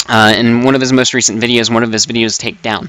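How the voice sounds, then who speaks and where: Here a man talks at a moderate pace. His pitch sits at a medium level. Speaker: gaming YouTuber. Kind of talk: casual vlog commentary while gaming. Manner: loud.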